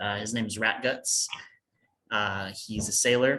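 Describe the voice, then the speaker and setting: Speaking with an American accent, a man uses a fairly low, bright and sharp voice at a fairly slow pace. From United States. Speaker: fantasy author. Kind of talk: interview. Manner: casual, with filler words.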